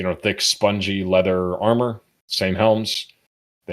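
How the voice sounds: Against a quiet background, a natural reading voice keeps fairly even intonation.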